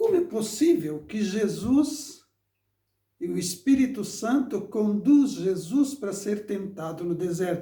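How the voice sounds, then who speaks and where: Against audible room echo, a man with a dark, mellow tone speaks at a fairly slow pace with lively intonation. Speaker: preacher. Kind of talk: sermon. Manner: halting, with repetitions.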